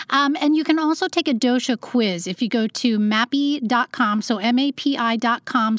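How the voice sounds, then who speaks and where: This woman's pitch is high, her delivery moderate in speed, and her pitch varies in an ordinary way. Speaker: podcast host, health coach and researcher. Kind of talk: interview. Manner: energetic, type A.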